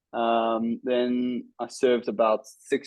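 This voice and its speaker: A man speaks with a South African accent. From South Africa, Cape Town; raised in Israel from age five. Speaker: startup founder and CEO. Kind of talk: podcast interview. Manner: many filler words (um, uh).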